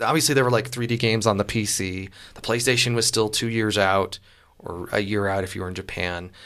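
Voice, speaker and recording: The man has a normal speaking voice with a fairly low pitch and ordinary pitch variation. He talks at a fairly quick pace, with big swings in loudness. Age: 30s. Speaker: podcast host. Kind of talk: casual chat.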